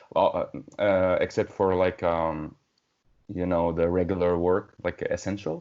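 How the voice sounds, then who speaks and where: A man with a non-native accent speaks at a moderate pace in a very deep, low voice, his intonation flat and monotone. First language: not English. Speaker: metal band musician. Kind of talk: casual interview conversation. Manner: halting, many fillers.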